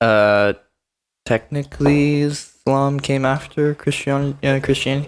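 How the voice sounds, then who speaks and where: A plain, everyday voice from a man, fairly high in pitch, at a fairly slow pace with fairly even intonation. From Canada, Ontario (Muskoka). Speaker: university student. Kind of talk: casual chat.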